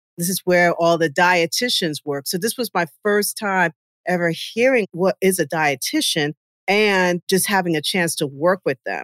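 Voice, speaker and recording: A woman with an American accent at medium pitch, ordinary pitch variation, dry, close sound with no echo, and a very clean recording with a silent background. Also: moderate pace. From New York (Westchester). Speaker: dietitian and nutritionist. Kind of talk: casual interview conversation.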